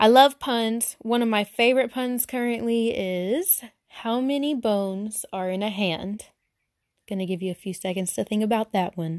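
In a very clean recording with a silent background, a woman speaks at a fairly high pitch and a moderate pace, with ordinary pitch variation. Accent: Southern US. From Arkansas, US South. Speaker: podcaster. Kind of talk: casual solo podcast monologue. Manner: awkward, self-conscious, filler words.

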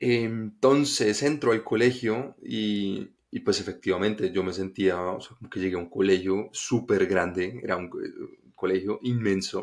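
A man with a fairly low pitch talks at a fairly slow pace, his loudness swinging widely. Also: ordinary pitch variation. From Colombia, Bogotá. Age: 20s. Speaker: podcast host. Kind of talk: personal storytelling monologue. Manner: casual, halting with fillers.

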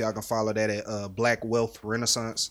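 In a very clean recording with a silent background, a man talks in a monotone, flat intonation. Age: 20s. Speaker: recent graduate and entrepreneur. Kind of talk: casual chat.

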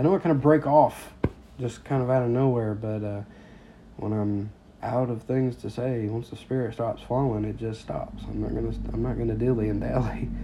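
A man speaks at a moderate pace, with noticeable background noise around him. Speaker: podcast preacher. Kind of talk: sermon-style teaching. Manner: halting with many fillers.

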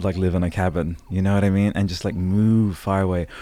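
A man's very deep, low pitch and dark, mellow tone on a very clean recording with a silent background. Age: 30s. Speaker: podcast host. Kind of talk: casual chat. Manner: animated; halting.

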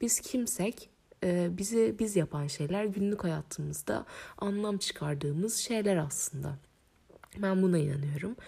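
Somewhat breathy, a woman speaks at a medium pitch in a dark, mellow tone. Her intonation is lively. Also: fairly slow pace. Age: 20s. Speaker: podcast host. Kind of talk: solo podcast monologue. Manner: hesitant, with frequent fillers.

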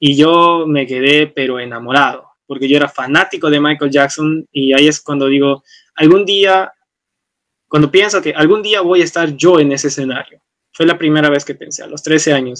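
A man talks in a normal speaking voice at a moderate pace. His intonation stays fairly even. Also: fairly high pitch for a man. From Peru, Arequipa. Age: 20s. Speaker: university student and dance teacher. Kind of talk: casual conversation.

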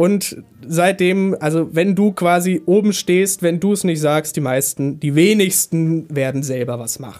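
The voice belongs to a man with a high pitch. His pitch varies in an ordinary way. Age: young. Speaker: trainee radio interviewer. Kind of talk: radio interview. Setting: radio studio. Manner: formal.

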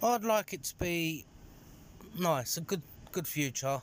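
The recording is very clean with a silent background. A man speaks in a London accent at a fairly high pitch. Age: 30s. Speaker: security manager. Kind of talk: interview.

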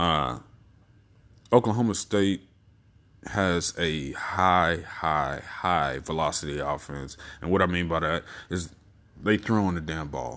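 Speaking with an American accent, a man with a very deep, low voice and vocal fry talks at a very slow pace, with ordinary pitch variation and long, frequent pauses. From Texas. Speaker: sports podcaster. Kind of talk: casual monologue. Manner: casual, many filler words.

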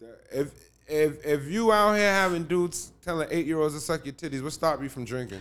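Talking at a fairly quick pace, a man with an American accent uses lively intonation and big swings in loudness. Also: fairly high pitch for a man. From Cambridge, Massachusetts. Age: 40s. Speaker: rapper. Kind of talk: casual chat. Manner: halting, many repeated words.

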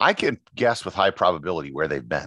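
A man's voice, dry and close with no echo, over a quiet background. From Appleton, Wisconsin, US Upper Midwest. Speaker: travel podcaster and photographer. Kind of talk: casual interview chat.

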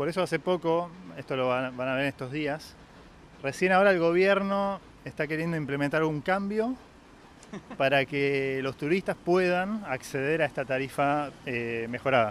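With an Argentine accent, a man talks at a moderate pace in a fairly high pitch with ordinary pitch variation. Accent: Argentine Spanish (Rioplatense). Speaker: local guide. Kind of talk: casual chat.

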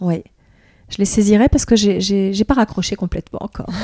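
Dry, close sound with no echo, carrying a woman's medium-pitched voice, dark and mellow in tone, fairly quick and fairly even in intonation. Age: 50s. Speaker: dancer and choreographer's assistant. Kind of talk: interview. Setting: face to face. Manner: hesitant, many fillers and repetitions.

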